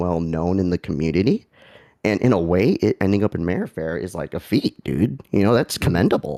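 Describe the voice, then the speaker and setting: On a very clean, dry, close recording with a silent background and no echo, a man with vocal fry speaks at a moderate pace in a very deep, low voice with a dark, mellow tone and lively intonation. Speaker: livestream host. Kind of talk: casual chat. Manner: animated.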